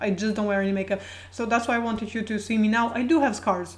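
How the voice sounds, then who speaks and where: Her intonation fairly even, a woman speaks with a Croatian accent. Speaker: video blogger. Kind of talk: casual personal talk to camera. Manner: halting, many fillers and repetitions.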